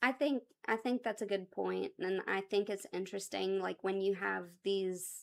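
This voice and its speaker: The recording is very clean, with a silent background. A woman speaks at a medium pitch and a moderate pace with fairly even intonation. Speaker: small business owner and co-host. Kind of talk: casual chat. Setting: on location at her shop, live stream. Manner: loud.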